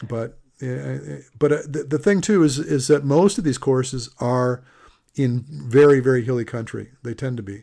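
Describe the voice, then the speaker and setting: At a moderate pace, a man speaks with a dark, mellow tone, medium pitch and ordinary pitch variation. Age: 60s. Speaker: podcast host and endurance coach. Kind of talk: casual interview. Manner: chatty, rambling.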